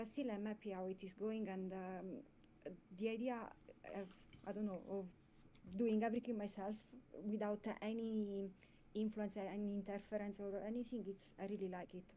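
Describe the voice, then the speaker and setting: A woman with an Italian accent, medium pitch and a dark, mellow tone, monotone with flat intonation, at a moderate pace with long, frequent pauses. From Italy. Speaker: comic creator. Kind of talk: casual interview chat. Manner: halting, many fillers.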